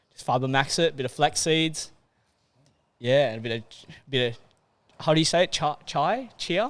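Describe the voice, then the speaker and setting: Moving at a moderate pace, a man pauses often and for long stretches. His voice is fairly high, with ordinary pitch variation. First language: not English. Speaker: fitness coach, podcast co-host. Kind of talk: casual chat. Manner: animated.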